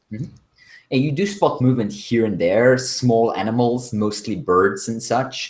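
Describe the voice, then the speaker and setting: This man talks at a moderate pace with a medium pitch and a non-native accent. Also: ordinary pitch variation. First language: not English. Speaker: game master. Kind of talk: tabletop role-play narration.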